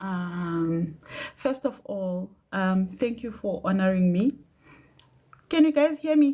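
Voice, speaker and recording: A woman speaks at a very slow pace and medium pitch, somewhat breathy. Her pitch swings very widely, and she leaves long, frequent pauses. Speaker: doctor. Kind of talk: casual livestream chat. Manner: hesitant.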